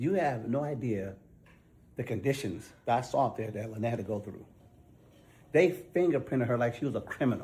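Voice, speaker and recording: A man with a dark, mellow tone speaks at a fairly quick pace with lively intonation, leaving long, frequent pauses. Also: medium pitch for a man. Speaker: war veteran. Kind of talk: heated argument. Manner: loud.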